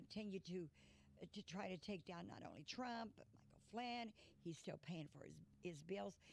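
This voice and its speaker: A woman with an American accent speaks at a moderate pace in a medium pitch, her tone animated with lively intonation. Her loudness swings widely, and vocal fry shows through. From Indiana. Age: 70s. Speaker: political activist. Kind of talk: talk show interview. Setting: studio.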